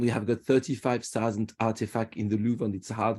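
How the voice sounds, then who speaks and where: In a French accent, a man with a dark, mellow tone talks at a moderate pace with fairly even intonation. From France, Paris. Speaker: tour guide. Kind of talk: virtual guided tour presentation. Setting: video call. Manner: halting, repeats words.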